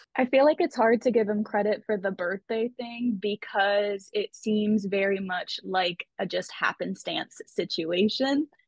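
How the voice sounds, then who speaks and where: Hardly pausing, a woman talks at a fairly high pitch with ordinary pitch variation. Hers is an unremarkable speaking voice. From Canada. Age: 20s. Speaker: YouTuber. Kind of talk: casual chat.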